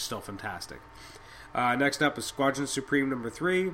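Fairly quick in pace, a man speaks with a bright, sharp tone at medium pitch. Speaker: podcast host, comic book reviewer. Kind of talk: solo review podcast. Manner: fast; halting, many fillers.

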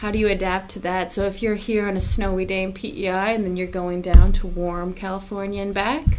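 A woman's medium-pitched voice at a moderate pace, with music in the background. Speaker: interviewer at trucking company. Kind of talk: interview, casual conversation.

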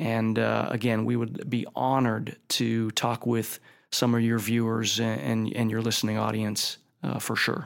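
With an American accent and a normal speaking voice, a man speaks at medium pitch and a fairly slow pace, his intonation fairly even and his loudness very even. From Ohio, Youngstown. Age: 50s. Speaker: company chairman. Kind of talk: interview.

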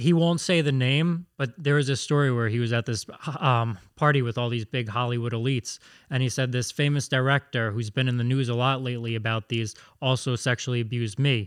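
A man with an unremarkable speaking voice talks at medium pitch and a fairly quick pace, showing ordinary pitch variation in a dry, close sound with no echo. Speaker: producer reading listener questions.

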